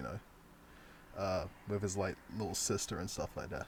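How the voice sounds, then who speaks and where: A man at a moderate pace, animated in tone and somewhat breathy. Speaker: video game streamer. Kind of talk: live gameplay stream chat. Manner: casual, animated.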